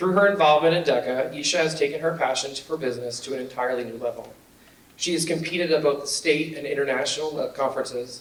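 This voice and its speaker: A man with a fairly high pitch and ordinary pitch variation speaks at a very fast pace over noticeable background noise. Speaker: business teacher. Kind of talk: award speech.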